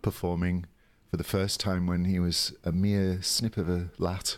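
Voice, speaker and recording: The recording is very clean, with a silent background. A man speaks in a very deep, low voice with monotone, flat intonation. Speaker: drag performer and actor.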